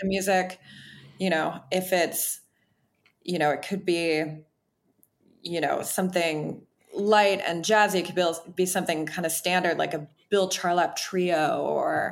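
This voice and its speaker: A woman with an American accent, medium pitch, monotone, flat intonation, a fairly slow pace and long, frequent pauses. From Wisconsin, small town. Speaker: chef and restaurant owner. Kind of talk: casual interview.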